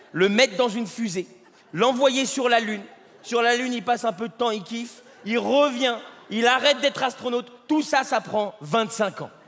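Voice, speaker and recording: Amid noticeable background noise, a man speaks in an extremely high pitch. He leaves long, frequent pauses. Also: ordinary pitch variation, moderate pace. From France. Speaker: stand-up comedian. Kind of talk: stand-up.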